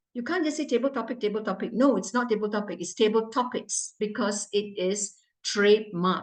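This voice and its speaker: A woman speaks fairly quickly in a fairly high, somewhat breathy voice. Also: ordinary pitch variation. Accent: non-native. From Malaysia, Johor Bahru. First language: not English. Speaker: club evaluator. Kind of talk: meeting evaluation. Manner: stern, emphatic.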